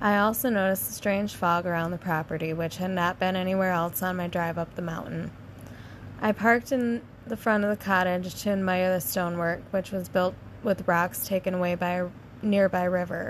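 Speaking fairly quickly with fairly even intonation, a woman uses a normal speaking voice at a medium pitch. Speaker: podcast host reading campfire stories. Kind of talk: ghost story telling, read aloud from written campfire tales, with casual chat around it. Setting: camping outdoors, recording at campsite. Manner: casual and playful when chatting with co-host.

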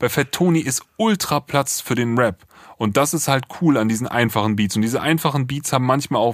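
The recording of this man is very clean, with a silent background and a dry, close sound with no echo. His intonation is lively. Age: 30s. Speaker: music producer, podcast co-host. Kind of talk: casual album review chat.

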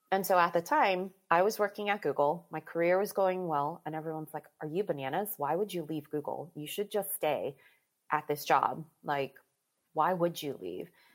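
An unremarkable speaking voice carries an American accent. It moves at a moderate pace with ordinary pitch variation. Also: woman, fairly low pitch for a woman, very clean recording, silent background. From US, Maryland. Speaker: life and mental fitness coach. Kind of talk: casual interview chat.

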